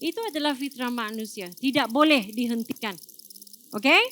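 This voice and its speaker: A woman's raised, projected voice, high-pitched, bright and sharp in tone, with ordinary pitch variation. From Malaysia. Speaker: doctor. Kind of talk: talk to audience. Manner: code-switching with fillers.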